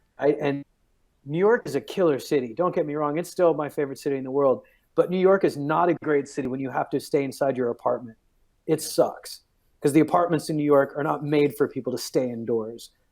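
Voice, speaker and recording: This man talks fairly quickly, with an unremarkable speaking voice. His fairly high pitch shows ordinary variation. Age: 40s. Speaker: stand-up comedian. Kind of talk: casual interview chat.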